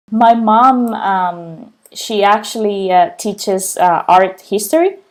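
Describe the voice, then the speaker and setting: A woman speaks at a very slow pace with fairly even intonation, in a very clean recording with a silent background. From Spain, Barcelona. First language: Spanish. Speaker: client success manager, civil engineer. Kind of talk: career interview testimony. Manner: frequent fillers and hesitations.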